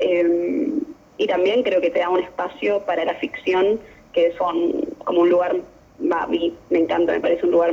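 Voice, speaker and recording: Noticeable background noise runs behind a woman speaking with an Argentine accent. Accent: Rioplatense Argentine Spanish. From Argentina, Buenos Aires southern suburbs (Temperley). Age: young. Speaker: poet and filmmaker. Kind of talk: interview conversation; poetry reading. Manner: fast.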